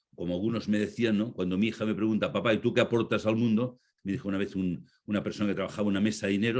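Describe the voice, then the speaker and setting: A man with a fairly low pitch talks at a very fast pace against a quiet background. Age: 70s. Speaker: speaker on conscious leadership, former banker. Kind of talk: talk or conference Q&A.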